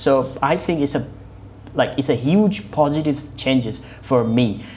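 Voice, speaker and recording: In a Bengali accent, a woman with a very deep, low pitch talks at a fairly slow pace with ordinary pitch variation, and audible room echo surrounds her. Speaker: English learning vlogger. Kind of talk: mock speaking exam. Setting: online video call. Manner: halting.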